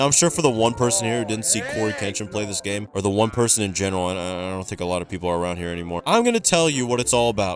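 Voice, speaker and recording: Behind the voice, music plays. The man's delivery is very fast. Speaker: gaming YouTuber. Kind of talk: casual video commentary. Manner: stuttering; animated.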